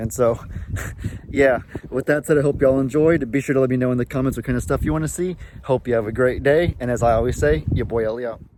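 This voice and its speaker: A man's medium-pitched voice, very fast and lively in intonation, over noticeable background noise. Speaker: farming vlogger. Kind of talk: casual vlog Q&A. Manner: fast outro.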